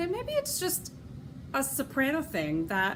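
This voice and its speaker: In a western New York accent, a woman speaks at a fairly slow pace with audible room echo. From Rochester, New York. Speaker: knitting podcaster and opera singer. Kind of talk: casual podcast monologue. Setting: at home. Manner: chatty with many fillers.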